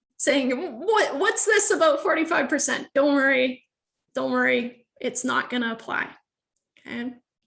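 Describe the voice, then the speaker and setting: At a moderate pace, a woman with a high pitch speaks, leaving long, frequent pauses. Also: lively intonation. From Sweden. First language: Swedish. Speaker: university lecturer. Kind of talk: lecture. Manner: casual, hesitant with fillers.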